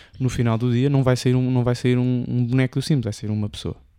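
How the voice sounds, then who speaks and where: A man's dark, mellow voice in a European Portuguese accent at a very fast pace. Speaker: podcast co-host. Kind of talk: casual chat.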